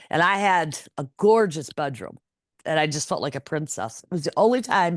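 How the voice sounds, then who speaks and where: A plain, everyday voice with lively intonation moves at a moderate pace, recorded with a dry, close sound and no echo. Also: woman. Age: 60s. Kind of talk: interview answer.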